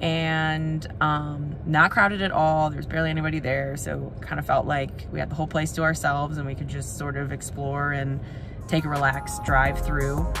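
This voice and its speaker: Over music in the background, a woman speaks at a moderate pace. Her very deep, low voice keeps fairly even intonation. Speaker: travel vlogger. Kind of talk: casual vlog chat. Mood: relaxed, content. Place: car. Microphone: phone near.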